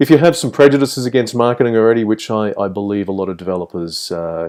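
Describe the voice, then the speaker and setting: This man speaks at a very fast pace with an Australian accent and lively intonation. His voice is fairly low in pitch, with a dark, mellow tone. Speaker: game developer and lecturer. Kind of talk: online course introduction. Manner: hesitant with many fillers.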